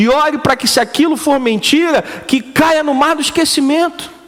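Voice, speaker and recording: Noticeable background noise sits behind a man speaking at a moderate pace in an animated tone. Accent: Brazilian. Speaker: preacher. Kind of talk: sermon; sermon to a live congregation, call-and-response. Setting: church. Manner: animated, rhetorical questions, colloquial and punchy.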